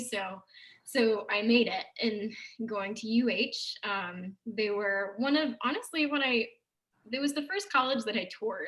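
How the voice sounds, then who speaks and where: A woman speaks in a normal speaking voice, fairly high-pitched, with ordinary pitch variation. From Texarkana, Texas. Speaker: theater producer. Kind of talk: casual chat.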